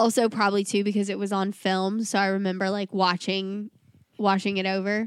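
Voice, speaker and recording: A woman with an American accent, medium pitch, animated tone and fairly quick pace, in dry, close sound with no echo. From US South. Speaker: podcast co-host. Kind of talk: casual chat.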